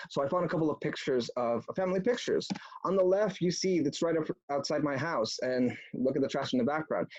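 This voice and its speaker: Against noticeable background noise, a man speaks at a very fast pace in a fairly high pitch, his loudness very even. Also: lively intonation. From Mexico (Mexico City area), moved to US at about nine. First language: Spanish. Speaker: political activist speaker, former antifa member. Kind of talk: online talk presentation.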